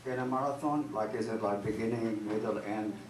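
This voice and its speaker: A man's voice comes with audible room echo. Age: 70s. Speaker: comedian. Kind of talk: stand-up. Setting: stage with audience. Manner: halting.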